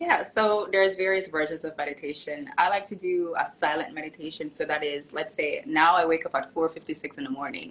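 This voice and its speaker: A woman's fairly low-pitched voice with lively intonation. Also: fairly quick pace. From Jamaica, Kingston. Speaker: author and nurse. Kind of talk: casual interview. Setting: live stream.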